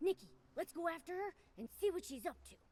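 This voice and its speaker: At a very fast pace, a put-on character voice speaks in an extremely high pitch. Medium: video game. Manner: excitable, quick.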